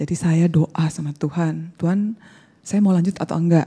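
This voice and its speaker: A woman speaks with a dark, mellow tone at a fairly low pitch. Her intonation is fairly even, and the background is quiet. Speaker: bible college student; speaker. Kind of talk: testimony. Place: hall. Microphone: handheld.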